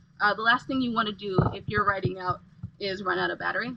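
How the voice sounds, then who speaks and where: A woman's medium-pitched voice with vocal fry, at a fairly quick pace. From England. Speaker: lifestyle vlogger. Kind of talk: tutorial. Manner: casual, halting with fillers.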